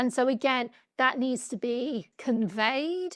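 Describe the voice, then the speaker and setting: A high-pitched woman speaks with a British accent and ordinary pitch variation. The recording is very clean and silent behind her, with a dry, close sound and no echo. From UK. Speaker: patient advocate. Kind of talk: podcast interview.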